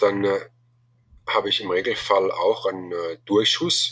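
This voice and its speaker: The speaker is a man. His delivery is fairly slow. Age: 40s. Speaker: bowhunting association chairman. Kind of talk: interview. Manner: halting, many filler sounds.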